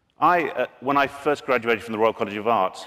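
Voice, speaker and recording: Over a quiet background, a man speaks with ordinary pitch variation. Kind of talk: conference talk. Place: stage. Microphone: podium.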